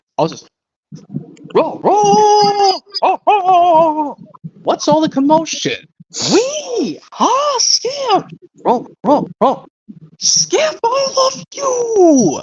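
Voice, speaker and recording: Extremely high and put-on, the character voice moves very slowly through very wide pitch swings, broken by long, frequent pauses. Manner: warm, affectionate, playful.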